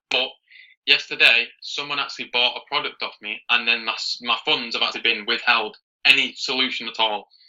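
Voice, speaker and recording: Speaking with a British accent, a man talks at a medium pitch and a fairly quick pace. His intonation is fairly even. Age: young (19). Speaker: beginner online seller. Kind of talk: coaching call.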